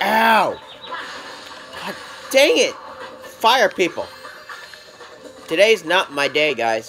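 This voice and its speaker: Music plays in the background. The speech is very slow, with long, frequent pauses. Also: man. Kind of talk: casual let's play commentary.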